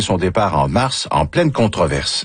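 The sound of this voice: A man's voice with big pitch swings and a slightly husky edge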